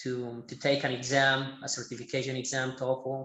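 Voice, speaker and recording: In a Colombian paisa accent, a man speaks at medium pitch with monotone, flat intonation. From Medellin, Colombia. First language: Spanish. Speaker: Spanish teacher. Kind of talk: podcast interview answer.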